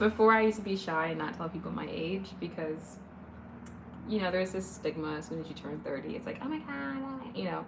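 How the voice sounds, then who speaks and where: With noticeable background noise and audible room echo, a woman with an American accent speaks at a medium pitch and a fairly quick pace. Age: 30s. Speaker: livestreamer. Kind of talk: casual chat. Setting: live stream. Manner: animated.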